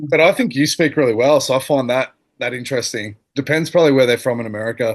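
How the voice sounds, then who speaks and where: Speaking very fast with an Australian accent, a man holds a medium pitch and ordinary pitch variation. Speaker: former teacher. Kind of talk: casual chat. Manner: mumbling.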